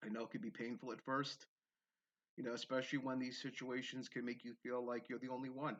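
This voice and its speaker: A man with a medium-pitched voice talks at a fairly quick pace, his intonation fairly even. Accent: Bronx. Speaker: spiritual video creator. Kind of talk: personal testimony monologue. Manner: occasional stumbling over words, repetitions; conversational, frequent tag 'okay?'.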